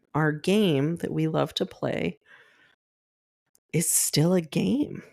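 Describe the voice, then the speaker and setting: Recorded very cleanly over a silent background, a woman speaks very slowly in a very deep, low pitch with vocal fry, a dark, mellow tone and lively intonation. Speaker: podcast host. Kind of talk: solo podcast talk.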